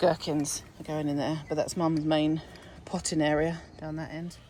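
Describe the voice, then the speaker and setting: Speaking in a British accent, a woman with a very deep, low pitch and a dark, mellow tone talks at a fairly slow pace. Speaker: allotment gardening vlogger. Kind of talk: casual walkthrough vlog. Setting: outdoors on allotment plot.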